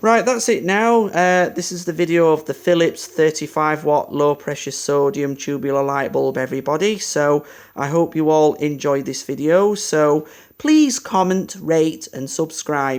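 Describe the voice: Here a man speaks at a fairly high pitch with a clear, smooth tone. He keeps a fairly slow pace. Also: ordinary pitch variation.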